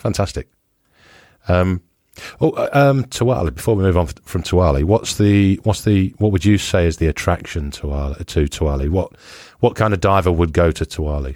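A man's very deep, low voice with a British accent and lively intonation, on a very clean recording with a silent background. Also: moderate pace. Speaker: scuba diving podcast host. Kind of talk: casual interview chat.

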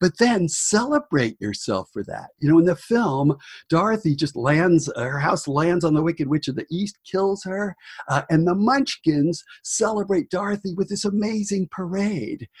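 A man with an American accent, high-pitched, lively in intonation, at a moderate pace, in a dry, close recording with no echo. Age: 60s. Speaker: book editor and author. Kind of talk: interview conversation.

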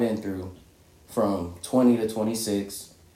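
A man talks with an American accent at a medium pitch and ordinary pitch variation. Room echo is audible. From Indiana, Michigan City. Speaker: podcast guest co-host. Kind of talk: casual chat.

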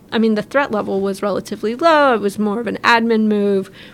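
An unremarkable speaking voice from a woman, fairly high in pitch. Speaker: army officer. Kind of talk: interview. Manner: casual with filler words.

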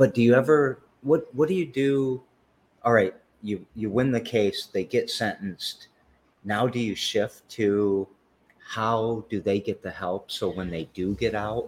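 Speaking at a fairly slow pace, a man has an ordinary speaking voice at medium pitch with ordinary pitch variation. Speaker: podcast host. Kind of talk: casual interview.

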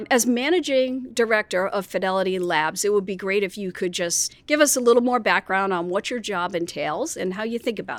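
Using a normal speaking voice, a woman talks at a fairly quick pace with medium pitch, lively intonation and hardly any pauses, on a very clean recording with a silent background. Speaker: podcast host. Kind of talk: interview.

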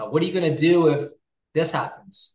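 In an Ontario accent, a man speaks at a fairly high pitch. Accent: Canadian (Ontario). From Hamilton, Ontario, Canada. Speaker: realtor and real estate investor. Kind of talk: casual interview chat.

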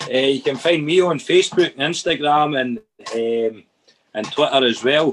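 The speaker has a Dundee accent. Pitch varies in an ordinary way. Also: man, fairly high pitch for a man, moderate pace. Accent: Scottish (Dundee area). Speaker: musician. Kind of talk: casual chat. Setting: video call.

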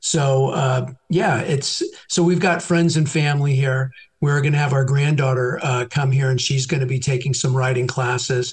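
Speaking with an American accent, a man with a fairly high pitch sounds somewhat breathy, keeping very even loudness, fairly even intonation and a moderate pace. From San Francisco Bay Area, California. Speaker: realtor. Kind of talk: casual interview. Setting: phone call.

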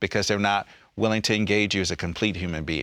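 A man with an American accent talks very fast in a fairly low voice and a fairly even tone, recorded very cleanly against a silent background. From US South. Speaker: politician. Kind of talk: panel discussion.

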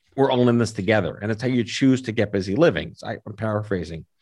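An American-accented man with a medium pitch speaks fairly quickly in an ordinary speaking voice, his pitch varying in an ordinary way. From New York City. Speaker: cancer advocate and podcast host. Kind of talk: interview.

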